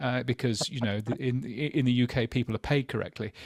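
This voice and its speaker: Recorded in a dry, close sound with no echo, a man with a British accent talks fairly quickly at a medium pitch with ordinary pitch variation. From England. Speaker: podcast industry journalist. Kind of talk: casual panel discussion. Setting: remote from a hotel.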